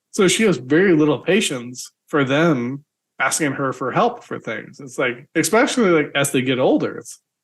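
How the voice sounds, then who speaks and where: A normal speaking voice, delivered at a moderate pace. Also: man. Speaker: podcast host. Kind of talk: casual interview conversation.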